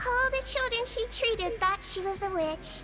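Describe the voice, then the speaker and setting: Loud music plays in the background as a put-on character voice at an extremely high pitch talks at a moderate pace. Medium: video game. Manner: gentle, warm.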